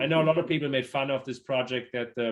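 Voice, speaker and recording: A man with a German accent and fairly even intonation. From Germany. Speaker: city business development executive. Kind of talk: panel interview.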